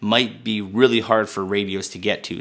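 A man speaks in a normal speaking voice, fairly low in pitch, at a moderate pace. His intonation stays fairly even over a quiet background. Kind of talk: product review talk. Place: studio.

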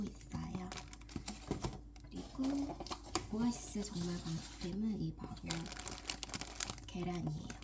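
A woman whispers at a moderate pace, with noticeable background noise and audible room echo. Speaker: homemaker vlogger. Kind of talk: casual vlog narration. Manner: whispering; halting.

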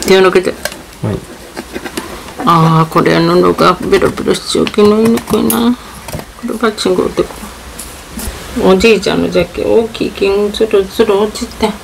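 A woman at a moderate pace with long, frequent pauses over noticeable background noise. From Kochi, Japan. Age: old. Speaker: grandmother sewing. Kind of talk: casual talk while sewing. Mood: relaxed, mildly grumbling. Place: home room. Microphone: phone near.

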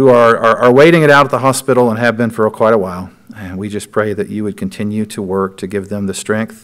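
A man with a fairly low pitch and ordinary pitch variation speaks over a quiet background. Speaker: pastor. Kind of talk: spoken prayer. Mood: calm, earnest. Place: church.

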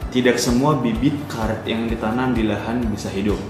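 Clear music plays in the background as the voice moves at a moderate pace with fairly even intonation and audible room echo. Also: man. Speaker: presenter. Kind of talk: lecture. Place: home room. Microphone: webcam.

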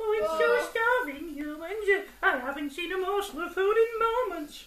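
A put-on character voice, extremely high and whiny, comes out at a moderate pace in a whiny, dramatic tone. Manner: mocking, whiny, dramatic.

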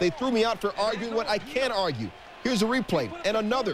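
Noticeable background noise runs under a man speaking at a high pitch with ordinary pitch variation. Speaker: sports highlights anchor. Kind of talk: baseball highlights narration. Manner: jokey, playful delivery.

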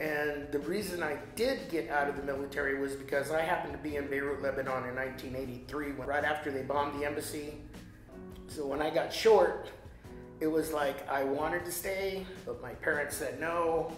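Over faint background music and audible room echo, a man talks at a moderate pace with fairly even intonation. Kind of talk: interview answer. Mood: reflective, somewhat emotional. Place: home room.

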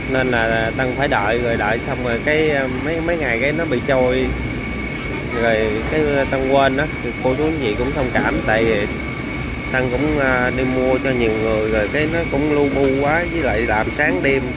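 A dry sound with no echo, a fairly slow pace, and loud background noise. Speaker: seafood buyer vlogger. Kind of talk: casual vlog chat. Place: market. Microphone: phone near.

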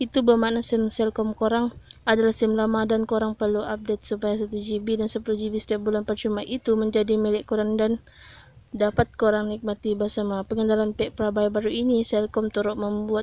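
A woman's fairly high, dark and mellow voice with monotone, flat intonation. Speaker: YouTuber tech tips channel admin. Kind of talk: street seller pitchman, hard-sell promo of cheap data plans. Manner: fast, hyped, pushy salesman patter; emphatic, persuasive, promising 'no scam' deals.

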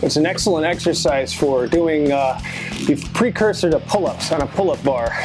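With clear music playing in the background, a man talks at a moderate pace with ordinary pitch variation. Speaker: fitness demonstrator. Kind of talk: tutorial. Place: gym.

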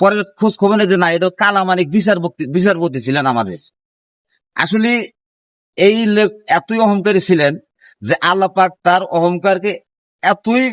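The man's pitch is high. The sound is dry and close, with no echo. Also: ordinary pitch variation. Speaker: vlogger. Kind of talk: monologue.

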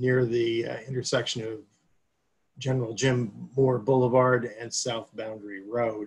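At a fairly slow pace, a man talks in a somewhat breathy voice with monotone, flat intonation. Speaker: legal counsel; public presenter. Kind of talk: public board meeting. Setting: video call. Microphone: video call.

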